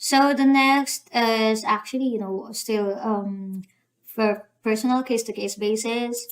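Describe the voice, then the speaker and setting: At a very slow pace, a woman speaks with a fairly high pitch and fairly even intonation. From Philippines. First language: Filipino. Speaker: YouTuber giving visa application guide. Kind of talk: tutorial. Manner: hesitant, many fillers.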